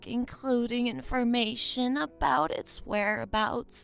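Using a put-on character voice with very wide pitch swings, a woman speaks over faint music in the background. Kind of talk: roleplay character dialogue. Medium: solo performance. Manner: warm, gentle. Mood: kindly, curious.

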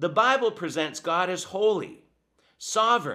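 A man's extremely high, bright and sharp voice, raised and projected, with lively intonation at a very slow pace. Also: quiet background. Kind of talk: video commentary critiquing teachings. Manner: sarcastic, dismissive. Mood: critical, emphatic. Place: home room.

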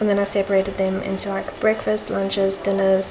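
A woman speaks at a moderate pace and medium pitch, her intonation monotone and flat. Background noise comes through clearly.

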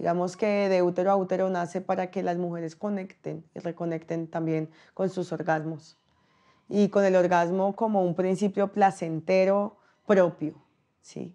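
Against a quiet background, a woman talks at a fairly slow pace and medium pitch. Her tone is dark and mellow, her intonation monotone and flat. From Colombian Pacific coast (Chocó). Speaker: rapper and body-work facilitator; body-work facilitator. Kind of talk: testimony; interview answer. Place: home room.

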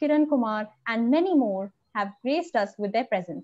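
Speaking at a moderate pace, a woman delivers the lines. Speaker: event host. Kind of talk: scripted introduction. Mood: cheerful, smiling. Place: home room. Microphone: video call.

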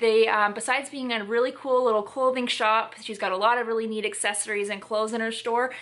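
A woman rattles along at a very fast pace with hardly any pauses. Her intonation is monotone and flat. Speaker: vlog host. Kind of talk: casual vlog chat. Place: home room.

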